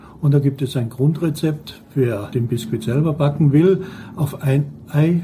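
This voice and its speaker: Pitched fairly high with normal movement in his pitch, a man talks very slowly. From Austria, Carinthia (Lavanttal). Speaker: pastry chef. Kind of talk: tutorial.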